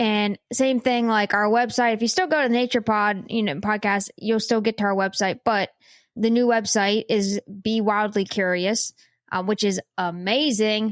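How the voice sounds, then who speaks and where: A woman with a Pittsburgh accent speaks at a moderate pace in a fairly high pitch, her intonation fairly even and her loudness very even, on a very clean recording with a silent background and a dry, close sound with no echo. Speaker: science and nature podcast co-host. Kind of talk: casual chat.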